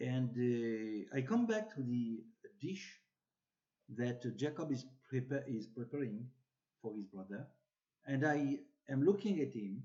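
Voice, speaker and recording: A man's dark, mellow tone with a non-native accent, lively intonation, a fairly slow pace and long, frequent pauses. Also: medium pitch for a man. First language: French or Hebrew. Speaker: bible teacher. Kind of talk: religious teaching talk. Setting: social media video. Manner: halting.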